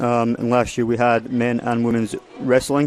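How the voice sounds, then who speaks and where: A man speaks at a medium pitch with a Scottish accent. Noticeable background noise sits behind him. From Scotland, Prestwick (Ayrshire). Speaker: college golf coach. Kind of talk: radio interview. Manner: clear, distinct today.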